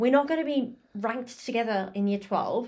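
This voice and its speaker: With an Australian accent, a woman speaks at a high pitch with ordinary pitch variation. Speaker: podcast co-host. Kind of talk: casual chat. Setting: home recording on laptop.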